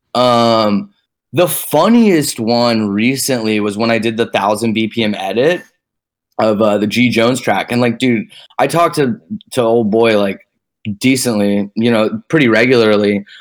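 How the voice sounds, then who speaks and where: An ordinary speaking voice from a man with an American accent comes at medium pitch and a fairly slow pace, its loudness very even. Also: ordinary pitch variation. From Texas, Dallas. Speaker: electronic music producer/DJ. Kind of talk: casual chat.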